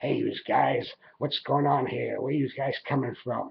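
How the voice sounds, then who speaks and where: Using a put-on character voice, a man speaks raspily at a medium pitch and a moderate pace. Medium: solo performance. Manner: gruff, commanding.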